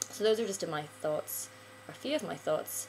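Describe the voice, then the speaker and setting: The speaker has a Northern Irish accent. There is noticeable background noise. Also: woman. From Northern Ireland. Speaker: vlogger. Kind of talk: casual video monologue. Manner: hesitant, many filler ums.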